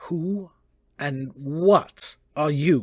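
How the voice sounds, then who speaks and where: Middle pitch in a put-on character voice. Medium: read story.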